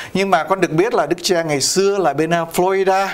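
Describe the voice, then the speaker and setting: A man is speaking. His pace is moderate. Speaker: priest and TV host. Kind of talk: interview on community news show. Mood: warm, cheerful. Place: studio. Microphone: lapel.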